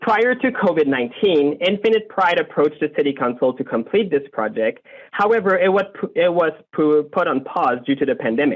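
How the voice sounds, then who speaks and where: Talking at a fairly quick pace with a French accent, a man with a high voice swings his pitch very widely while keeping his loudness very even. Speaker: community group board member. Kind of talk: prepared presentation to city council. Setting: video call.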